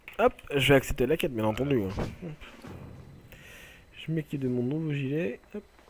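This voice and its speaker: With music in the background, a man speaks at a moderate pace in a fairly high voice with ordinary pitch variation, leaving long, frequent pauses. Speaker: gaming video creator. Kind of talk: let's play commentary. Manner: halting.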